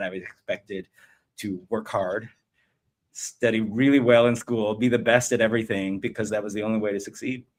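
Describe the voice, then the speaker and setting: A man with an American accent and an unremarkable speaking voice, medium in pitch, at a fairly quick pace. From United States, Vietnamese refugee family. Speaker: venture investor. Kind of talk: podcast interview. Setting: live stream.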